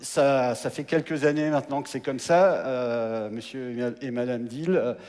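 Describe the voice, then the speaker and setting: A man is talking. His pace is fairly slow. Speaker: mayor. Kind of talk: presentation on stage. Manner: hesitant, with repetitions.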